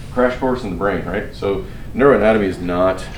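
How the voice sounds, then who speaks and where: Mumbling at a fairly quick pace in a fairly low pitch, a man is heard against noticeable background noise and audible room echo. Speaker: physician lecturer. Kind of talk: lecture. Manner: fast. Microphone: muffled by face mask.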